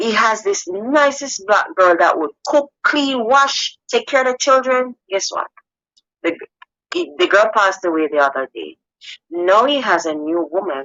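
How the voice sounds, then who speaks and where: Her pitch swings very widely as this woman speaks in a fairly high voice. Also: fairly slow pace. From Jamaica. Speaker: caller on a live relationship show. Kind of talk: casual chat. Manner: animated.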